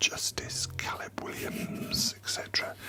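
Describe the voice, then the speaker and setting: Someone whispers at a fairly slow pace. Noticeable background noise sits behind the voice. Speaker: theatre director. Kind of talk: casual talk to camera. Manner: whispered.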